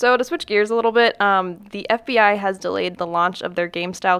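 A woman with a plain, everyday voice speaks at a medium pitch, with ordinary pitch variation. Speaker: podcast co-host. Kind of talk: casual podcast chat.

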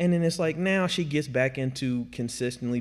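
With an unremarkable speaking voice, a man talks at a moderate pace with ordinary pitch variation, recorded very cleanly against a silent background. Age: 30s. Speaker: CrossFit coach. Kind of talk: casual chat.

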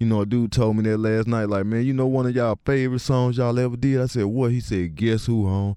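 This man speaks very fast, with hardly any pauses and very even loudness. His medium-pitched voice has a dark, mellow tone and fairly even intonation. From Atlanta, US South (East Point). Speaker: rapper. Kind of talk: casual interview.

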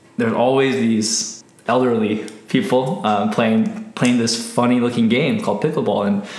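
A man talks at a moderate pace and medium pitch, with ordinary pitch variation and very even loudness. Room echo is audible, along with noticeable background noise. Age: 30s. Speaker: entrepreneur. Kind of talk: casual interview. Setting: home office.

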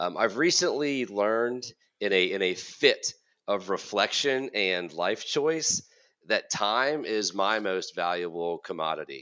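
A man with a fairly low voice talks at a fairly slow pace in an ordinary speaking voice, his intonation lively. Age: 40s. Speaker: college counselor and podcast host. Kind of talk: casual chat.

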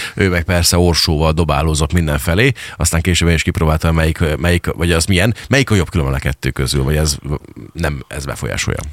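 Over noticeable background noise, a man with a very deep, low pitch talks very fast, his pitch varying in an ordinary way. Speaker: radio host. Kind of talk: casual radio interview. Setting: studio.

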